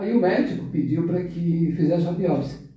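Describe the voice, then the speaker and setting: Fairly slow speech from a man with a high pitch, plus audible room echo. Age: 60s. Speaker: web radio co-host. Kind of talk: radio talk show conversation.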